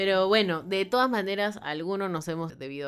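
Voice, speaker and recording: An animated woman at a moderate pace, with lively intonation. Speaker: podcast co-host. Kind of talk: casual chat.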